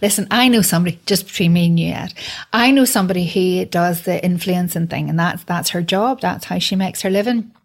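A woman talks at a fairly quick pace with a medium pitch. Her voice is somewhat breathy, with ordinary pitch variation. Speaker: podcast host and broadcaster. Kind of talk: interview.

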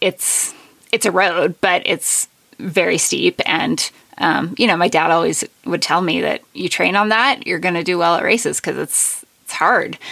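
With an American accent and vocal fry, a woman speaks at a moderate pace in a fairly low pitch, her bright, sharp tone paired with lively intonation. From Colorado, US (San Juan Mountains). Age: 30s. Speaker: ultrarunner. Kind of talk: interview.

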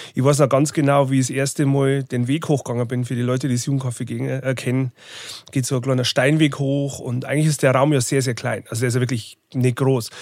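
A man speaks in a Lower Bavarian accent. He talks at a very fast pace with monotone, flat intonation. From Bavarian Forest, Lower Bavaria. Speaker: tour manager and record label owner. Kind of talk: casual interview.

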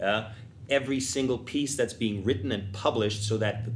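In a German accent, a man speaks with a somewhat breathy voice and fairly even intonation, and audible room echo surrounds him. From Vienna, Austria. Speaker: tap dancer. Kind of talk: panel discussion.

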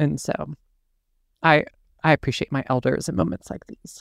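A woman with vocal fry at a moderate pace, in a very clean recording with a silent background and a dry, close sound with no echo. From US South. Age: 30s. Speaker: podcast host and skin therapist. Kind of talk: interview.

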